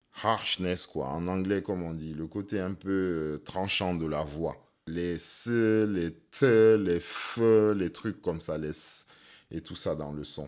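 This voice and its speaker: A man's very deep, low voice at a very slow pace, with ordinary pitch variation, on a very clean recording with a silent background. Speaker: sound engineer and rapper. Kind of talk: tutorial.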